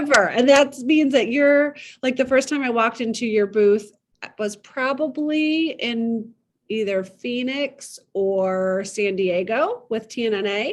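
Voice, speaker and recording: Speaking with a Midwestern accent over a quiet background, a woman has a fairly high pitch. Her pace is fairly slow and her pitch varies in an ordinary way. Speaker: podcast host and needlepoint shop owner. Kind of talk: casual interview chat.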